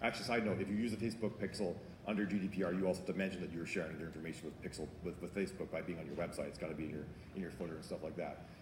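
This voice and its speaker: A man speaks at a very fast pace in a very deep, low, somewhat breathy voice. His pitch variation is ordinary, and the room echo is audible. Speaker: author and marketing speaker. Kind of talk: conference talk Q&A.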